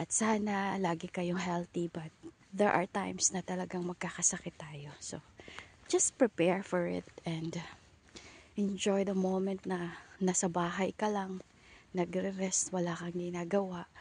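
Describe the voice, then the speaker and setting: A woman's medium-pitched voice, fairly slow and flat, in a monotone. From Philippines. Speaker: vlogger. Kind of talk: casual vlog. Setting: outdoors. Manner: quiet, not full volume; usually very loud.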